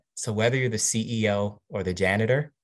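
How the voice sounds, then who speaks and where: With an American accent, a man talks at a moderate pace in an unremarkable speaking voice pitched fairly low. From Washington DC. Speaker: marketing executive. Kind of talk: interview.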